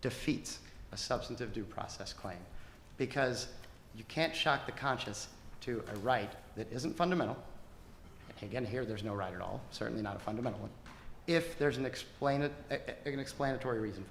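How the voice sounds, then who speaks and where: Speaking at a fairly quick pace yet with long, frequent pauses, a man uses a medium pitch and ordinary pitch variation in a room with audible echo. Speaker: government attorney. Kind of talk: closing argument in court. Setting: courtroom. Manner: fast.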